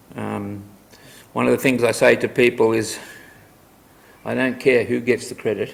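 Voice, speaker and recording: Long, frequent pauses break up a man's speech. Between them, his pace is moderate. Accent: Australian. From Australia. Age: 70s. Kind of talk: public talk.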